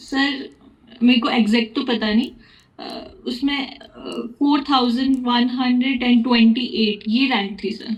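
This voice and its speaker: A woman's high-pitched voice comes through with noticeable background noise. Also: fairly even intonation. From Himachal Pradesh, India (Shimla). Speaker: nursing exam topper. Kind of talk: interview. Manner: halting.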